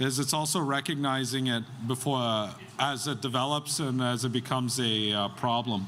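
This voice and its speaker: A man speaks with a Canadian accent. His pace is fairly slow, and his pitch varies in an ordinary way. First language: Algonquin. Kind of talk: public address. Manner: hesitant, many fillers.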